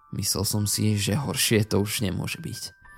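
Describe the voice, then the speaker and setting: A man's fairly low-pitched voice in a dramatic tone over background music. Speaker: creepypasta narrator. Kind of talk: ghost story telling, first-person horror narration. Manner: suspenseful, hushed and slow-building, dramatic.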